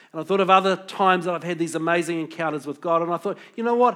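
A man's high-pitched voice with a New Zealand accent. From New Zealand (Pukekohe, Auckland). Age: 50s. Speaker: pastor. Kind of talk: sermon.

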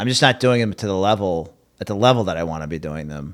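A man talks very fast in a very deep, low pitch. His pitch variation is ordinary. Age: 40s. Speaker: stand-up comedian. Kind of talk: casual chat.

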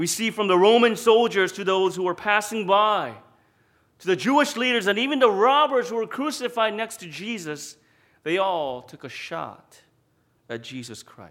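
A man speaks in a high voice at a moderate pace, his intonation lively and his loudness swinging widely. The recording is very clean, with a silent background. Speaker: pastor. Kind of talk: sermon.

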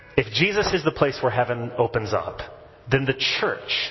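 A man at medium pitch speaks at a moderate pace with lively intonation over noticeable background noise. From US South (Texas and Tennessee). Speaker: priest. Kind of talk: sermon. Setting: church.

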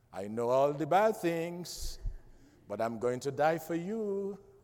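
A man speaks in an animated tone. His intonation is lively. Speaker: preacher; pastor. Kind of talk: sermon. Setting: church. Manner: animated, call-and-response, rousing the congregation to shout amen.

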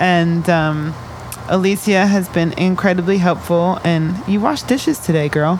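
Noticeable background noise sits behind a woman with a fairly low pitch. Her pitch variation is ordinary and her loudness very even. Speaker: radio host. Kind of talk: live radio show chat with young guests. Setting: radio studio in a shipping container. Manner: fast talker, radio voice.

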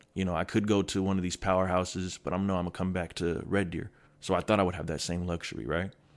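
At a very fast pace, a man speaks with a very deep, low pitch and fairly even intonation. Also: quiet background. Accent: American. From US Pacific Northwest, Kent near Seattle, Washington. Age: 20s. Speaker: college basketball player. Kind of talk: interview, casual chat. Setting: studio.

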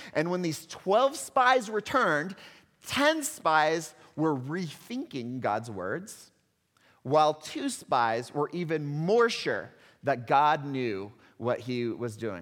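A man's fairly high voice in a slight Texan accent, very slow, with very wide pitch swings. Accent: slight Texan twang. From Texas. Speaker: pastor. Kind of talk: sermon. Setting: church.

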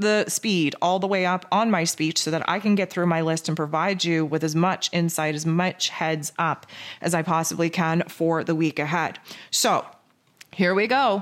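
In a Canadian accent, a woman speaks with an animated tone and very even loudness at a fairly low pitch. The recording is very clean, the background silent. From Canada. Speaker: spiritual energy forecaster. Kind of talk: solo spiritual forecast monologue. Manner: fast.

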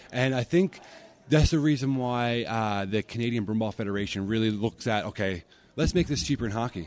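An ordinary speaking voice from a man, medium in pitch, with ordinary pitch variation and a fairly quick pace. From Newfoundland, Canada (Corner Brook). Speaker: sports association president. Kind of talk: interview.

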